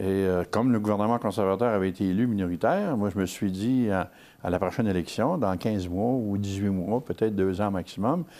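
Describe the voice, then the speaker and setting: A man's fairly low voice with a dark, mellow tone and ordinary pitch variation, recorded very cleanly against a silent background. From Quebec, Gaspésie. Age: 70s. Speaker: regional activist spokesman. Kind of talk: TV interview. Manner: hesitant, many fillers.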